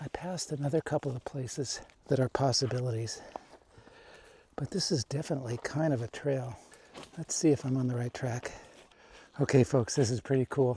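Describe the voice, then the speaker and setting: A man speaks in a dark, mellow, somewhat breathy tone at a moderate pace with ordinary pitch variation. The sound is dry and close with no echo. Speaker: hiking vlogger. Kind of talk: outdoor vlog narration. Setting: outdoors on mountain trail.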